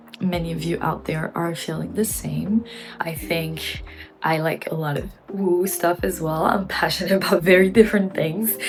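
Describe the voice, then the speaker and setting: A woman speaks with a non-native accent over music in the background. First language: not English. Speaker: gaming vlogger and former streamer. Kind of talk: personal vlog monologue.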